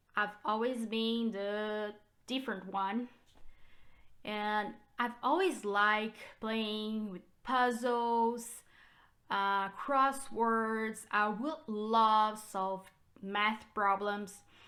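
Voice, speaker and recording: With a Brazilian Portuguese accent, a woman speaks at a very slow pace and fairly high pitch in a bright, sharp tone, her intonation fairly even and her pauses long and frequent. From Brazil, São Paulo state. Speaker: realtor. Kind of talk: personal vlog. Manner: hesitant with fillers.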